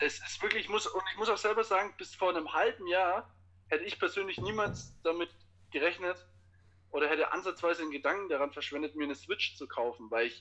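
Bright and sharp in tone, a man's high voice moves at a moderate pace with lively intonation. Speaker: teacher. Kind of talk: casual chat. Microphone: Bluetooth headphones via phone.

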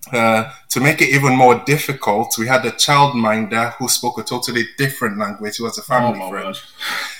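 With a Yoruba accent and a medium pitch, a man talks at a fairly quick pace with ordinary pitch variation and hardly any pauses, over noticeable background noise. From Nigeria. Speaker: library staff co-host. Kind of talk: casual chat.

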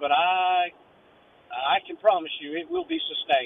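Background noise is noticeable throughout. The speaker, a man, has an American accent. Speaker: caller working in local development. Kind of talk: call-in discussion. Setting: phone call.

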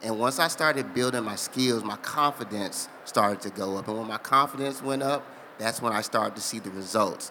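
A man with a plain, everyday voice speaks at medium pitch and a fairly quick pace, with ordinary pitch variation. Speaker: physician and nonprofit founder. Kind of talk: casual interview. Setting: live expo hall with audience.

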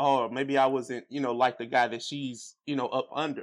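A very fast-talking man with an American accent and a medium pitch, in a quiet background. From US Midwest, St. Louis, Missouri. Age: 30s. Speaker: podcaster. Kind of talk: casual chat.

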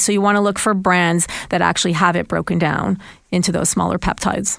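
Speaking at a fairly quick pace in a plain, everyday voice, a woman holds a medium pitch with ordinary pitch variation on a very clean recording with a silent background. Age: 50s. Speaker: nutritionist. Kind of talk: casual chat.

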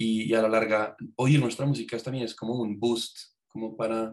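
Speaking at a medium pitch, a man keeps his intonation flat and monotone. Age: 20s. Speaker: music student and musician. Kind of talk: casual chat.

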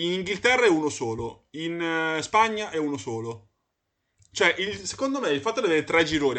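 The man's fairly high voice has a bright, sharp tone and very wide pitch swings. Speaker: podcast host. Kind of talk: casual chat.

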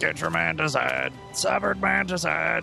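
A man speaks in a put-on character voice. Music plays clearly in the background. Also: moderate pace. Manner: loud, shouting, hawking.

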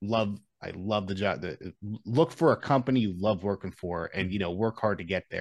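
A man's ordinary speaking voice, fairly low and fairly quick, with ordinary pitch variation, a dry, close sound with no echo and a quiet background. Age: 30s. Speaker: podcast guest, former metal guitarist. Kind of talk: casual chat.

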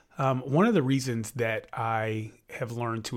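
A plain, everyday voice from a man at medium pitch, ordinary pitch variation, on a very clean recording with a silent background. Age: 40s. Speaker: podcast co-host, sports official. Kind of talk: casual chat.

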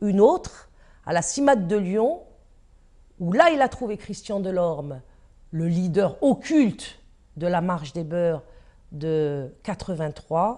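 Against a quiet background, a woman with a dark, mellow tone talks at a very slow pace with lively intonation and long, frequent pauses. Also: medium pitch for a woman. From France, Paris. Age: 50s. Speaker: activist and filmmaker. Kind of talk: interview testimony. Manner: hesitant, with fillers and repetitions.

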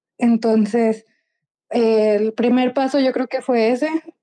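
This woman speaks at a very slow pace, her pitch fairly high. Her tone is dark and mellow, with fairly even intonation. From Mexico. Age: 20s. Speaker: software developer. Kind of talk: interview.

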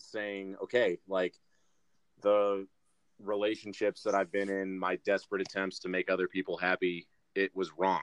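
A man's fairly low voice with an American accent, in a dry, close sound with no echo. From Michigan, US Midwest. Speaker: rugby player. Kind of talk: casual chat.

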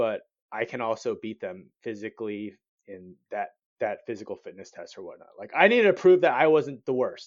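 This man has an American accent. His pace is moderate. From Southern California (Cerritos). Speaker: Army veteran and marketing manager. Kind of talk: casual interview chat.

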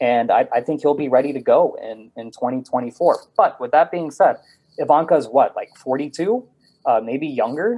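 A man speaks at a fairly slow pace in a plain, everyday voice. His pitch is fairly high, and his intonation is lively. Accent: American. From Texas, Houston. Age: 30s. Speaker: author and podcast host. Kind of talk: casual interview chat.

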